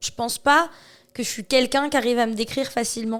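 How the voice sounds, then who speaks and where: An ordinary speaking voice from a woman, fairly high in pitch, with fairly even intonation and a fairly quick pace. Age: 30s. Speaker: charity association president. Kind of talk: podcast interview. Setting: association premises.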